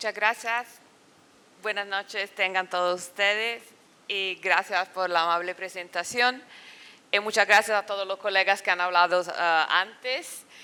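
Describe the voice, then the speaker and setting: Speaking with a non-native accent at a fairly slow pace, a woman has medium pitch, a bright, sharp tone and fairly even intonation. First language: Italian (speaking Spanish). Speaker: political science professor. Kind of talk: academic talk. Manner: halting.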